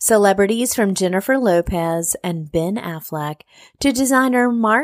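A woman with an ordinary speaking voice talks at a fairly slow pace with lively intonation, in a dry, close sound with no echo. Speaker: podcast host and food writer. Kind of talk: interview chat. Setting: hotel room.

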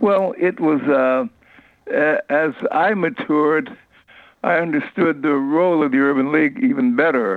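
At a moderate pace and with long, frequent pauses, a man with an American accent lets his pitch swing very widely. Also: fairly high pitch for a man, very even loudness. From Ohio, US Midwest. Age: 90s. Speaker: retired civil rights leader. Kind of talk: interview, reminiscing.

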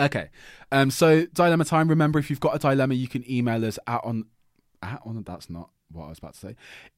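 A man with a medium-pitched voice talks at a very fast clip, his intonation lively and his loudness swinging widely, on a very clean recording with a silent background. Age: 20s. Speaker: podcast host. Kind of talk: casual chat.

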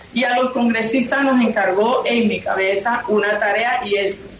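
A woman's fairly high voice keeps a fairly even intonation, with noticeable background noise and audible room echo. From La Guajira, Colombia (Riohacha). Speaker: senator. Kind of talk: radio interview. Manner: halting.

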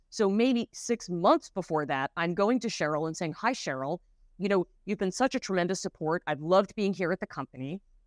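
A woman's plain, everyday voice at medium pitch, fairly quick, with lively intonation and a dry, close sound with no echo. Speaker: author and negotiation expert. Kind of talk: live interview talk. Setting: online live session.

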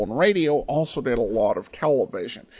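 This man has an American accent and a fairly high pitch. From Idaho, US. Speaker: podcast host. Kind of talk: podcast intro and outro, casual announcing.

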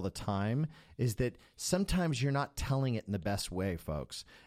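On a very clean recording with a silent background, a man with an ordinary speaking voice talks at a medium pitch with lively intonation. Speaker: podcast co-host and music school owner. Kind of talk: casual podcast conversation.

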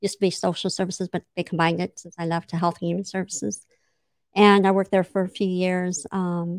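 Very fast and monotone, a woman with a fairly low pitch and an American accent speaks with flat intonation in a dry, close sound with no echo. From US West Coast (San Diego area). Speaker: city manager. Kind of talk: interview.

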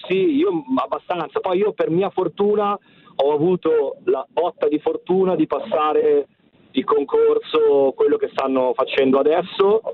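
Loudness from this man holds very even. He goes at a fairly slow pace. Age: 40s. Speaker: teacher. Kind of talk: radio call-in. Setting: phone call.

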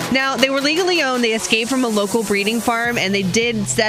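A woman speaks at a very fast pace. Noticeable background noise is present. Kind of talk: radio co-host banter and news. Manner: chipper, chatty, laughing.

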